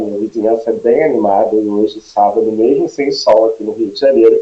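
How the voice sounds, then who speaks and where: A man's voice with music playing behind it. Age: 40s. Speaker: HR consultant. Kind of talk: live webinar presentation. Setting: home office live stream.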